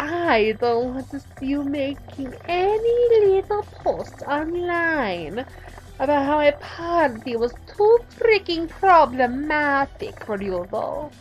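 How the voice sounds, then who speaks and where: A woman's put-on character voice at a high pitch, over clear background noise. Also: fairly slow pace. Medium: solo performance. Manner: purring, arch, theatrical.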